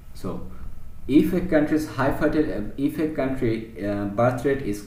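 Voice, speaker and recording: A man with a Bangladeshi accent speaks fairly slowly and somewhat breathily, with audible room echo. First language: Bengali. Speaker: teacher. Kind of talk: lecture. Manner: halting.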